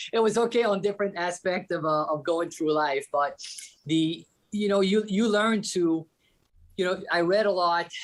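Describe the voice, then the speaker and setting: The speaker has a Quebec accent. The pace is moderate. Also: man, high pitch for a man, ordinary pitch variation, very even loudness. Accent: French-Canadian accent in English. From Quebec, Canada. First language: French. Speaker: company executive. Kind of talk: interview. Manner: hesitant, many fillers and restarts.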